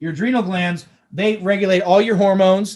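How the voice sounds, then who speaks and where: Talking at a very fast pace, a man uses a high pitch. His tone is animated. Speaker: doctor giving health talk. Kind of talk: health lecture.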